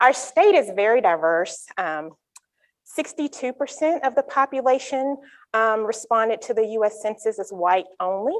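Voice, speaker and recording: Speaking with a North Carolina accent, a woman keeps a moderate pace and lively intonation. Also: fairly high pitch for a woman. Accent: Southern US (North Carolina). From North Carolina, US South. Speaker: psychology researcher. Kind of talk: conference talk.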